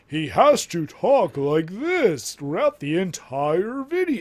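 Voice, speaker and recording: In a put-on character voice, a man speaks fairly slowly with a high pitch and very wide pitch swings. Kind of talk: annoying announcer voice. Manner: pretentious, trying too hard.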